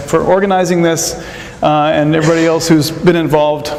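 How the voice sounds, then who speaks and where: A man with an American accent speaks at a fairly quick pace in a fairly high, monotone voice with flat intonation. There is noticeable background noise and audible room echo. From United States. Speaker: economics professor. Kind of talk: lecture. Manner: halting, many fillers and repetitions.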